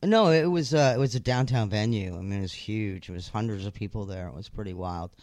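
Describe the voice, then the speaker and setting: On a very clean recording with a silent background, a man with a fairly low pitch talks at a very fast pace with lively intonation. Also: hardly any pauses, big swings in loudness. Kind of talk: radio dj patter: co-host reading show tags and sign-off. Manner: bright, bantering, laughing, quick interjections.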